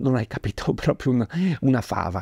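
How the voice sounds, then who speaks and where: Over a quiet background, a man with a dark, mellow tone talks at a moderate pace, his pitch swinging very widely. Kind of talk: devotional talk reading from a book. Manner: formal, earnest, didactic. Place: home room.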